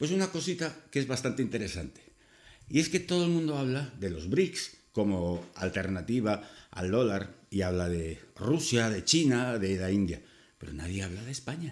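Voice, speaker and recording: The voice moves at a moderate pace with very wide pitch swings. The background is quiet. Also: man. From Spain. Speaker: YouTuber. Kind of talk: opinion monologue. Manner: casual. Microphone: webcam.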